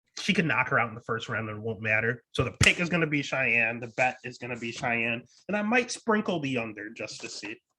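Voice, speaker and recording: A man talks at a fairly quick pace with hardly any pauses, at medium pitch with ordinary pitch variation. His loudness swings a lot. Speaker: MMA betting podcast host. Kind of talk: casual podcast fight picks.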